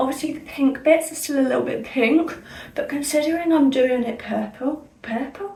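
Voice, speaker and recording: Through noticeable background noise and audible room echo comes a woman's high-pitched voice with ordinary pitch variation. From Somerset, south-west England. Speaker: beauty vlogger. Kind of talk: casual chat. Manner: energetic, fast chatter; speaking clearly.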